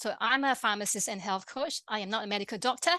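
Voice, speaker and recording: At a fairly quick pace, a woman with a Malaysian accent speaks at a fairly high pitch with ordinary pitch variation and a bright, sharp tone over a quiet background. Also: dry, close sound with no echo. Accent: interesting accent (Malaysian). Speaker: pharmacist and health coach. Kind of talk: webinar presentation. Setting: online webinar. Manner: fast; halting, many fillers and restarts.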